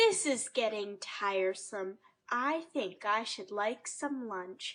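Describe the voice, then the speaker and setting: A put-on character voice delivers the lines at a fairly slow pace. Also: woman, fairly high pitch for a woman. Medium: read story. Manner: genteel, polite.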